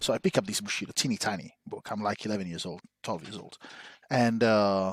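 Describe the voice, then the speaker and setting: This man speaks fairly quickly in an Italian accent, with ordinary pitch variation and big swings in loudness. The sound is dry and close with no echo, on a very clean recording with a silent background. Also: fairly low pitch for a man. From Italy (Rome). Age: 40s. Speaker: podcast co-host, historian. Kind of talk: casual chat.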